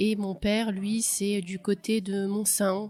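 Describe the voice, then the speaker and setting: A woman of medium pitch speaks at a very slow pace. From France, Clermont-Ferrand. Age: 30s. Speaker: interviewee. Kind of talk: testimony. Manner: hesitant, many fillers.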